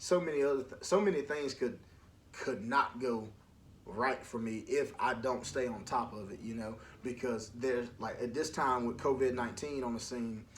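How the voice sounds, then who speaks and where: A man with an American accent speaks at a moderate pace and medium pitch with ordinary pitch variation, and the room echo is audible. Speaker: podcast host. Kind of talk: casual monologue. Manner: loud.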